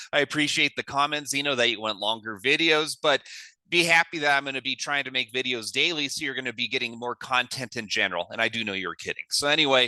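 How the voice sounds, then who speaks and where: A man talks at a very fast pace in a bright, sharp tone with ordinary pitch variation. The sound is dry and close with no echo, over a quiet background. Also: medium pitch for a man. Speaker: crypto video creator. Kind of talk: screen-share tutorial.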